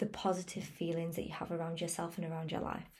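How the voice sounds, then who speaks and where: Somewhat breathy, a woman speaks at a fairly low pitch in a dark, mellow tone, with audible room echo around her. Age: 20s. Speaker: wellness podcaster. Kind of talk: motivational monologue.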